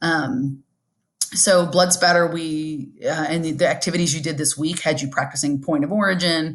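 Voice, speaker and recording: This is a normal speaking voice at a moderate pace. The background is quiet. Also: woman, fairly low pitch for a woman, fairly even intonation. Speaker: high school forensics teacher. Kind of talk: recorded lesson review.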